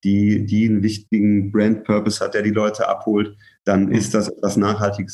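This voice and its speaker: Against a quiet background, a man speaks at a fairly quick pace in a fairly low pitch. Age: 20s. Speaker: brand manager. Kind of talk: casual interview.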